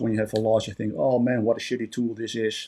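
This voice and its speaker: With a Dutch accent, a man speaks at a medium pitch. His tone is dark and mellow. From Netherlands. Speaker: trading bot vendor. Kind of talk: tutorial. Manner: hesitant with frequent fillers.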